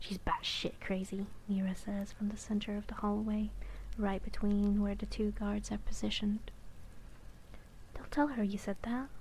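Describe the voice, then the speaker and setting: Whispering at a moderate pace. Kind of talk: read story. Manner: whispered.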